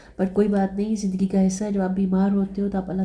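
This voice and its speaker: A fairly quick, somewhat breathy female voice with a dark, mellow tone. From Pakistan. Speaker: vlogger. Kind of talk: casual vlog narration. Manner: conversational, with fillers.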